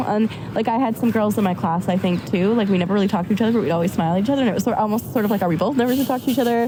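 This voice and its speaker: A woman's medium-pitched voice with an American accent at a very fast pace, over noticeable background noise. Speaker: university student. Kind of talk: casual chat. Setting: outdoors on a park bench.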